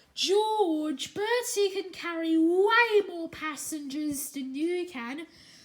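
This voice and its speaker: A woman uses a put-on character voice at an extremely high pitch. She talks at a very slow pace. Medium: read story.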